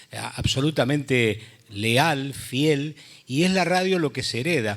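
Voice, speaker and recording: This man has an ordinary speaking voice at a medium pitch, with ordinary pitch variation. He talks at a fairly slow pace. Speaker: radio announcer. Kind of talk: panel discussion.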